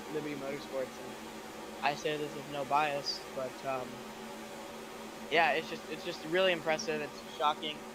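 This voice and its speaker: Noticeable background noise and audible room echo accompany a man speaking with fairly even intonation. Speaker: sim racing commentator. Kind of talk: live commentary.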